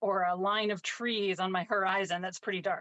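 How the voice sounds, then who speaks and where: At a fairly slow pace, a woman with a medium pitch speaks in a monotone, flat intonation. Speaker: painting teacher. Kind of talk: tutorial. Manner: casual with frequent fillers.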